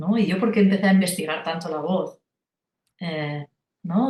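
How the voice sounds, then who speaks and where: In a Catalan accent, a woman talks at a moderate pace and medium pitch with ordinary pitch variation. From rural Catalonia, Spain. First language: Catalan (speaking Spanish). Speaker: singer and vocal coach. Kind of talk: interview conversation. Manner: halting, many repetitions and fillers.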